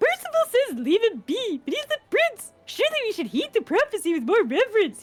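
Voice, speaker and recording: A woman uses a squeaky put-on character voice at an extremely high pitch with very wide pitch swings. She goes at a fairly quick pace with hardly any pauses. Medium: game stream. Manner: earnest, put-upon.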